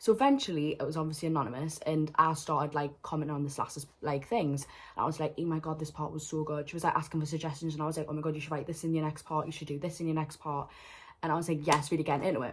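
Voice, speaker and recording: A woman's very fast, somewhat breathy voice with a very deep, low pitch and a Geordie accent. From northern England, Newcastle. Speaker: vlogger. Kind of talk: storytime vlog. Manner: animated.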